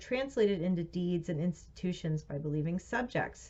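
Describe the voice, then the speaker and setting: This woman's voice sits at a medium pitch and sounds somewhat breathy. Her intonation is lively, and she talks at a moderate pace. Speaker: reader of philosophy and theology texts. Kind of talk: reading aloud.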